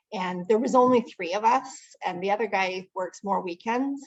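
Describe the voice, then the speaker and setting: A Canadian accent with ordinary pitch variation. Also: woman. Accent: Canadian, heard in 'about'. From Ontario, Canada. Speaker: networking meeting organizer. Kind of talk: casual chat. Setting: video call.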